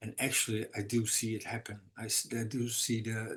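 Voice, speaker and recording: A man's somewhat breathy, medium-pitched voice, monotone and flat, at a moderate pace. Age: 60s. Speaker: recovery meeting speaker. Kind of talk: testimony. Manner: halting.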